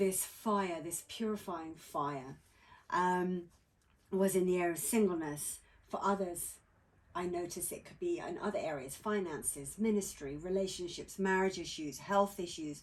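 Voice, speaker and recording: Speaking in a British accent at a fairly slow pace, this voice has big swings in loudness and ordinary pitch variation. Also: woman, medium pitch for a woman. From England. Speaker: author. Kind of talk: interview. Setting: outdoors by a campfire at a lake.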